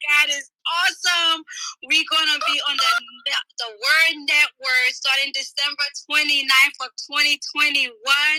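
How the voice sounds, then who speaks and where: A woman with a high pitch projects her raised voice at a fairly slow pace. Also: fairly even intonation, dry, close sound with no echo. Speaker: apostle and ministry leader. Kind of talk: casual chat. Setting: online audio room.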